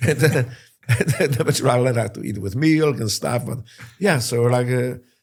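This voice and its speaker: A man with a Polish accent speaks at a medium pitch and fairly quick pace, somewhat breathy, with ordinary pitch variation. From Poland. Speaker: war veteran. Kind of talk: interview. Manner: halting.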